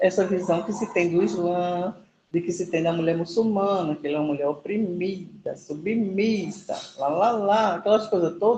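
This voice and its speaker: A woman's somewhat breathy, dark and mellow voice at a moderate pace. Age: 50s. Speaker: muralist artist. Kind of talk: class discussion testimony.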